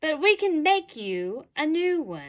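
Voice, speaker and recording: Using a put-on character voice, a woman speaks high for a woman at a fairly slow pace. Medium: read story.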